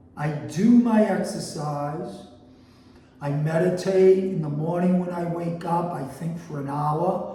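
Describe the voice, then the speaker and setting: Amid noticeable background noise and audible room echo, a high-pitched man speaks with an American accent. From Boston, US. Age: 60s. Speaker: health and food coach. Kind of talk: casual cooking show monologue. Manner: casual, conversational.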